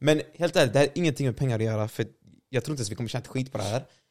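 Over a very clean recording with a silent background, a man talks very fast at a medium pitch. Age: 20s. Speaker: gaming streamer and video editor. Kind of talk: casual chat.

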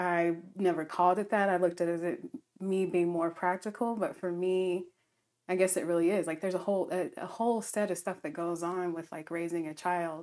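A woman talks fairly quickly with an American accent, in an ordinary speaking voice. Her pitch is fairly low and her intonation fairly even. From US South, Alabama. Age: 30s. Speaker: podcast guest. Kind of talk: casual chat.

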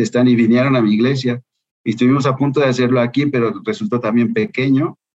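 The delivery moves at a fairly quick pace. It's an unremarkable speaking voice. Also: man. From Mexico, Guadalajara. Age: 50s. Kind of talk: interview conversation.

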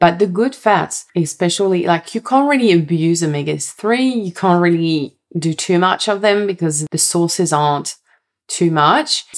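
A woman speaks at a moderate pace with a slight French accent. Her fairly low pitch carries lively intonation. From France. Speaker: health coach and podcast host. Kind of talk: solo podcast monologue.

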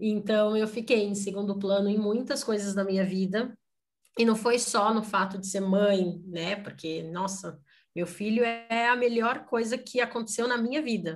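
A woman with a normal speaking voice talks at a fairly slow pace. Her pitch is fairly high and her intonation fairly even. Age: 30s. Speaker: mother sharing life story. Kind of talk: interview testimony.

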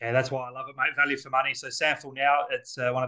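In an Australian accent, a man with a medium pitch and a bright, sharp tone talks at a very fast pace. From South Australia, Elizabeth. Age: 40s. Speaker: football commentator. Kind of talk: casual interview.

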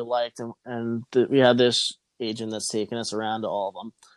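Dry and close with no echo, the recording has a man talking at a moderate pace. He has an unremarkable speaking voice. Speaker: podcast co-host. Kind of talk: casual chat.

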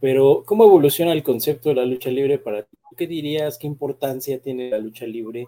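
A man with a Mexican accent speaks at medium pitch and a moderate pace, his dark, mellow tone carrying ordinary pitch variation. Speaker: podcast co-host. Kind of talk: casual chat.

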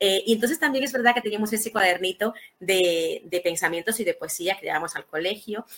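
The woman talks fairly quickly. Her medium pitch shows ordinary variation. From Dominican Republic, Santo Domingo. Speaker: writer and poet. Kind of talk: interview. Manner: halting, many repetitions.

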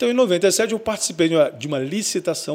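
A man talks at a fairly quick pace with lively intonation. He has a normal speaking voice. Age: 50s. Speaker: radio broadcaster and station owner. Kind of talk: casual interview chat.

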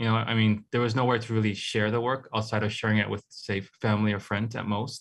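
This man has a Hawaiian accent and a fairly low pitch. He talks very fast in a flat monotone against a quiet background. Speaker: artist. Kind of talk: casual interview. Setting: video call.

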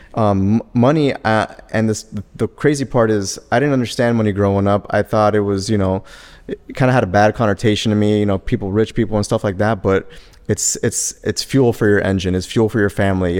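In a plain, everyday voice with an American accent, a man speaks fairly quickly with fairly low pitch and fairly even intonation. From Miami, Florida. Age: 30s. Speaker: former professional baseball player and scout. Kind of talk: interview.

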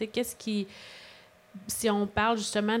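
Here a woman talks at a medium pitch. She has a Quebec accent. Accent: Québécois French. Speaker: podcast host, mental health organization. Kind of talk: interview. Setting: live podcast with audience.

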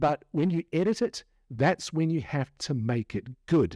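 A man with a New Zealand accent and lively intonation, in a very clean recording with a silent background and a dry, close sound with no echo. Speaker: podcast host. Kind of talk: casual chat. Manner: animated.

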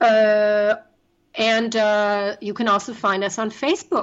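A woman's fairly high voice in a German accent with fairly even intonation. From Germany. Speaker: travel business owner and life coach. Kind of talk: interview.

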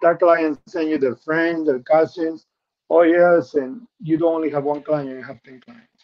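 A man with a Spanish accent speaks with fairly even intonation. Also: fairly high pitch for a man, moderate pace. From Peru. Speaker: insurance benefits specialist. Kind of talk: interview. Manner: calm.

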